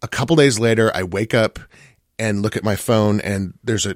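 In an American accent, a man speaks at a moderate pace with ordinary pitch variation. The sound is dry and close with no echo, on a very clean recording with a silent background. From US Midwest. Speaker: pop music critic. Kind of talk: radio interview, casual chat. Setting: studio.

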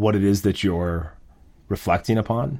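A man talks in a normal speaking voice at a moderate pace with ordinary pitch variation. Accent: American. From Minnesota. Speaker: chef. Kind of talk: casual interview. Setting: video call with online audience.

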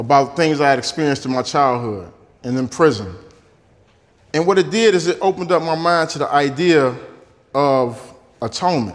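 Lively in intonation, a man with a fairly high pitch and an American accent talks at a fairly quick pace. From Detroit. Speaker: former prisoner. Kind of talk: interview and talk excerpts.

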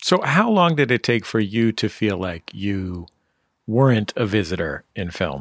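Speaking in a normal speaking voice with an American accent, a man talks fairly slowly at a fairly low pitch with lively intonation, in a dry, close sound with no echo. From San Francisco, US. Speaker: radio host. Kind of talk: interview; scripted narration. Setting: remote interview.

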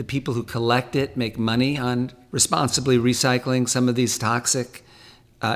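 Speaking at a moderate pace, a man with an American accent talks at a medium pitch. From California, San Fernando Valley. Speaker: talent manager and ocean charity board president. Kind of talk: interview.

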